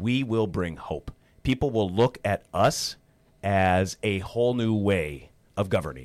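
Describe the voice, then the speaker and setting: In a very clean recording with a silent background, a man talks with an Upper Midwest accent. His pitch is fairly low, with ordinary pitch variation. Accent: Upper Midwest (Minnesota). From rural Minnesota, Otter Tail County. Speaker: political candidate, former broadcaster. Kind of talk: radio interview. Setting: radio studio.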